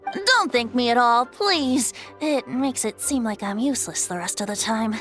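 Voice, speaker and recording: Clear music plays in the background behind a female-sounding voice in a put-on character voice. The pitch is high and the pace moderate. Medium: fan dub. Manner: light, playful.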